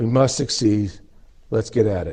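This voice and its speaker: A man with an American accent, an ordinary speaking voice, ordinary pitch variation and a moderate pace. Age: 60s. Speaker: deputy defense official. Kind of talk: introductory speech. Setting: stage with audience.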